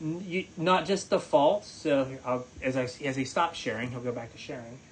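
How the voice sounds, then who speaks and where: A man with a fairly high pitch talks at a moderate pace with ordinary pitch variation over noticeable background noise. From West Virginia. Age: 40s. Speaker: chemistry professor. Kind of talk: lecture. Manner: casual.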